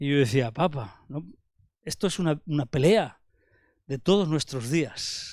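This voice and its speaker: The speaker's intonation is lively, on a very clean recording with a silent background. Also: man. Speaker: preacher. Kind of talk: sermon.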